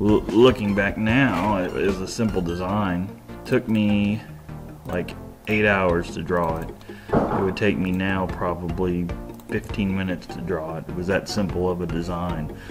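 A man's very deep, low voice at a fairly slow pace, with ordinary pitch variation and clear music in the background. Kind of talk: tutorial commentary with anecdote. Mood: relaxed storytelling. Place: home room.

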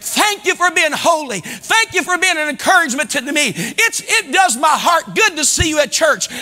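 A man with an American accent speaks at a moderate pace in an extremely high, raised and projected voice with an animated tone. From US Midwest. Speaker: pastor. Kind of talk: sermon. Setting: church. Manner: animated, exhorting the congregation with call-and-response; fervent and preacherly, rising in volume and emphasis. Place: church. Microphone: lapel.

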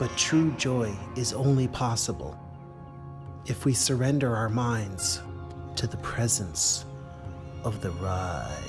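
Over clear music in the background, a man talks at a very slow pace with long, frequent pauses. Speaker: comic ride-share driver character. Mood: earnest, intense. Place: bathroom.

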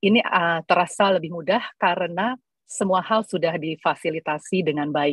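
In a dry recording with no echo and a quiet background, a woman speaks in a plain, everyday voice, fairly low in pitch with ordinary pitch variation. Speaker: entrepreneur; presenter. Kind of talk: panel presentation. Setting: video call. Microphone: video call.

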